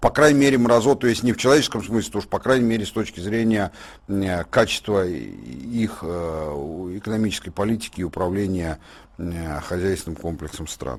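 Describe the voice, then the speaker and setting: A man's very deep, low voice at a moderate pace, lively in intonation, on a very clean recording with a silent background. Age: 50s. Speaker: political and economic commentator. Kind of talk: radio studio discussion. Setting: radio studio. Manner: animated.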